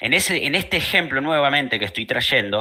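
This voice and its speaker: With a Rioplatense accent, a man speaks in a bright, sharp, fairly high voice with lively intonation. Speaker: law tutor. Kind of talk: online study group lesson.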